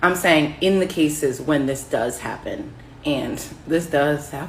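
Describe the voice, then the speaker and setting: In a room with audible echo, a woman with an American accent and a very deep, low pitch speaks at a fairly slow pace with fairly even intonation. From United States. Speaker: social media commentator. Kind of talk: casual vlog monologue.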